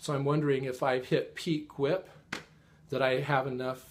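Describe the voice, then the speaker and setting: A man talks at a fairly high pitch, his voice somewhat breathy and his intonation fairly even. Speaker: cross-stitch video blogger. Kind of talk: casual chat. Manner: occasional stammer, trips over words; fast, rushed.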